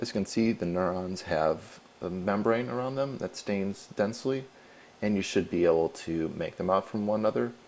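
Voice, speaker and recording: This man has an unremarkable speaking voice, fairly low in pitch, with lively intonation at a moderate pace. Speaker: researcher. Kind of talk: tutorial. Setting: screencast.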